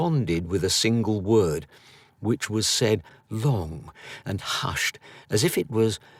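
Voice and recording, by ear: A natural voice reading text aloud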